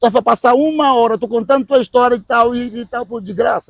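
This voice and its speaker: Recorded with a dry, close sound and no echo, a man in an animated tone talks at a moderate pace and a high pitch. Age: 50s. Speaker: radio host. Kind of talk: casual chat. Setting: podcast. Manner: loud.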